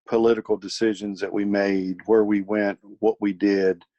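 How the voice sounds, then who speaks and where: Dry and close with no echo, a man with a slight Virginia accent speaks at a fairly slow pace in a monotone, flat delivery, his fairly low voice dark and mellow in tone. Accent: slight Virginia twang. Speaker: military college professor. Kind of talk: podcast interview. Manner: halting.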